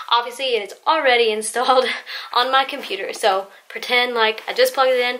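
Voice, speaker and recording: At a fairly quick clip, a woman is talking. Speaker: home tutorial maker. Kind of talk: tutorial. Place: home room. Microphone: camera far.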